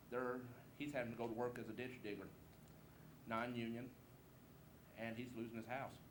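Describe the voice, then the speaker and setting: A man speaks with monotone, flat intonation at a fairly quick pace, yet with long, frequent pauses. Audible room echo can be heard. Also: medium pitch for a man. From Southeast Missouri. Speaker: political candidate. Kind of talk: campaign speech. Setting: candidate forum with audience. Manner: informal, folksy.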